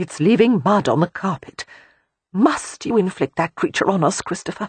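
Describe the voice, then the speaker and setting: A female-sounding voice does a strained, put-on character voice at medium pitch and a moderate pace. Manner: tense, disapproving.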